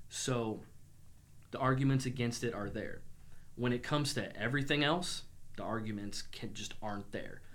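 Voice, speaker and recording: With long, frequent pauses and audible room echo, a man speaks at medium pitch with an American accent. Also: ordinary pitch variation, moderate pace. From Illinois, US Midwest (Springfield). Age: 30s. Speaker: entrepreneur. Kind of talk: casual chat.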